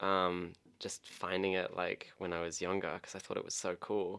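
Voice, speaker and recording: A man's very deep, low voice, monotone and flat, at a fairly quick pace. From England, moved to Australia aged nine. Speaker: guest. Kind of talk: casual chat. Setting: studio.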